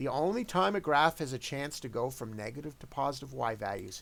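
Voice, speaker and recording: This man speaks at a medium pitch with lively intonation. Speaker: math teacher. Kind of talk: tutorial. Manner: fast.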